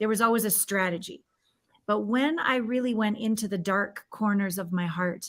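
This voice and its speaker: A woman talks in a plain, everyday voice, fairly high in pitch, at a moderate pace and with ordinary pitch variation. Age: 50s. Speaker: intimacy coach. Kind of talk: interview.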